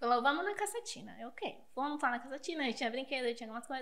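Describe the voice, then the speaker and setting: A woman projects a raised voice with a bright, sharp tone. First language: Spanish (speaking Portuguese). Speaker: teacher. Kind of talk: podcast interview.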